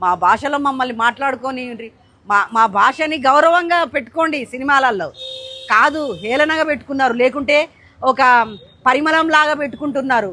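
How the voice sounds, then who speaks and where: In a raised, projected voice, a woman with a Telangana accent speaks at a high pitch with ordinary pitch variation. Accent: Telangana Telugu. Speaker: writer. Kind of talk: interview answer. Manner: passionate, indignant.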